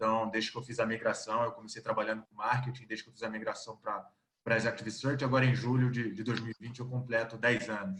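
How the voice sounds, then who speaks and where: The speaker has a Rio de Janeiro accent. The pace is fairly quick and the intonation fairly even. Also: man. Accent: carioca accent, noticeable. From Rio de Janeiro, Brazil. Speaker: executive search consultant. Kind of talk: video call interview.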